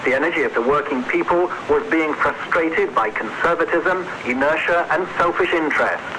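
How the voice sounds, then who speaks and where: Over noticeable background noise, a man with a high pitch talks at a moderate pace with hardly any pauses and ordinary pitch variation. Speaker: radio news correspondent. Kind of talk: radio news report from abroad.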